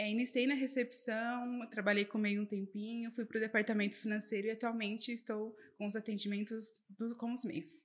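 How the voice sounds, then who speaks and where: A woman with a somewhat breathy, fairly high voice speaks at a moderate pace with hardly any pauses. Her intonation stays fairly even. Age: 20s. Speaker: accountant. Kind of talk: podcast interview.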